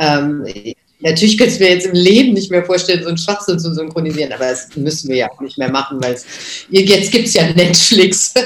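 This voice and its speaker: A woman speaks at a moderate pace in a fairly low pitch. Her intonation is lively. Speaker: voice actress. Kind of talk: interview.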